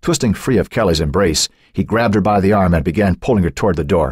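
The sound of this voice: Someone reads in an unforced voice. The pitch moves up and down by a normal amount.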